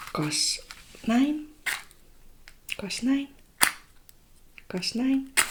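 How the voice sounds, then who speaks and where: A soft-spoken woman's high voice with ordinary pitch variation. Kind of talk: ASMR sleep clinic roleplay.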